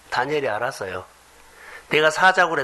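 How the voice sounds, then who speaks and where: Amid noticeable background noise, a man speaks with very wide pitch swings. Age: 50s. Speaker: pastor. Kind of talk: sermon.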